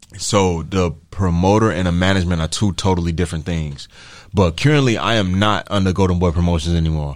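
The recording is very clean, with a silent background. A man with a very deep, low voice talks at a very fast pace, with ordinary pitch variation. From Chicago. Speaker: professional boxer. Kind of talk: casual interview. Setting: radio studio.

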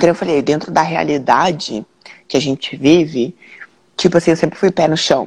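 A woman speaks with a very deep, low pitch and vocal fry. Her pitch varies in an ordinary way. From Londrina, Paraná, southern Brazil. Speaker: jiu-jitsu athlete. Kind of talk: interview on a live stream. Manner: casual, with frequent fillers.

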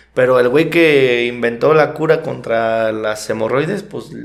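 Audible room echo surrounds a man speaking with a Mexican accent. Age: 20s. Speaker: podcast co-host. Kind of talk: casual chat.

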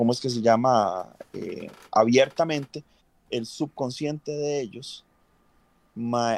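A man with a Costa Rican accent speaks with ordinary pitch variation in a dry, close sound with no echo and a quiet background. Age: 40s. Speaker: cosplayer. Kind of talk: casual chat. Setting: livestream.

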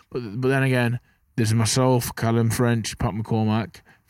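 In a very clean recording against a silent background, a man with an English Midlands accent speaks with monotone, flat intonation. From English Midlands, Burton upon Trent. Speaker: professional boxer. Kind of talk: casual interview chat. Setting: outdoors, dugout by rugby pitch.

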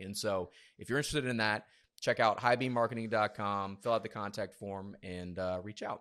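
A man with an American accent at a very fast pace, in a very clean recording with a silent background. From US South, South Georgia. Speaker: podcast host, marketing agency co-founder. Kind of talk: casual interview chat.

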